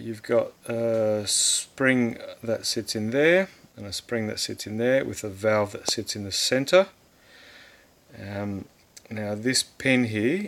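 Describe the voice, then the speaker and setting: Talking very slowly, a man lets his pitch vary in an ordinary way. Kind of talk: tutorial. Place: workshop. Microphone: phone near.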